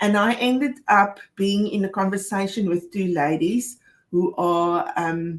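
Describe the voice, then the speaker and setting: Here a woman speaks in a South African accent. Her medium-pitched voice is somewhat breathy. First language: Afrikaans. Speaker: co-host of a financial advice show. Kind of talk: casual chat.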